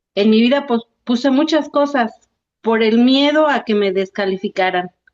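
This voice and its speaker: At a moderate pace, a woman with a fairly high pitch speaks with very even loudness and ordinary pitch variation. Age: 60s. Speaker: workshop participant. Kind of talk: casual chat. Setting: video call. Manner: halting.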